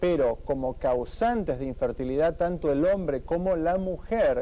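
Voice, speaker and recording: A man's dark, mellow voice with an Argentine accent, ordinary pitch variation and a moderate pace. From Argentina. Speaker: fertility doctor. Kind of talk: TV interview. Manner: formal.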